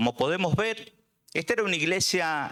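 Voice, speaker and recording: A man speaks with very wide pitch swings. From Argentina, Buenos Aires. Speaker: preacher. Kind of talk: sermon. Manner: halting, many fillers.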